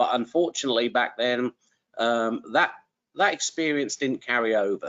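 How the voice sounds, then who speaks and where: Speaking with an English accent, a man talks at a fairly quick pace. His pitch sits at a medium level, with ordinary variation. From England. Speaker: trucking company recruiter, former truck driver. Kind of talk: webinar interview. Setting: online webinar.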